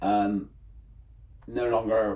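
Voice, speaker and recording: With a West Country accent, a man speaks with fairly even intonation. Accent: West Country English (Bristol). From England, Bristol (East Bristol). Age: 60s. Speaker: graffiti artist. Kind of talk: interview.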